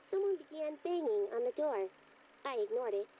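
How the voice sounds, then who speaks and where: In a put-on character voice, high and squeaky, the speaker moves at a fairly quick pace with very wide pitch swings over clear background noise. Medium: video game. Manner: blunt, matter-of-fact.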